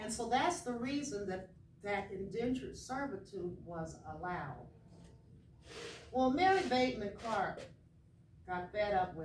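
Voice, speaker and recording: Very wide pitch swings and big swings in loudness from a woman at medium pitch, fairly slow with long, frequent pauses, in audible room echo. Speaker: author and historian. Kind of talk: storytelling talk to children. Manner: animated; quiet for emphasis.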